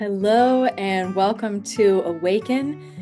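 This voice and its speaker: A woman at medium pitch with music in the background. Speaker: spiritual coach. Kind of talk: podcast interview host.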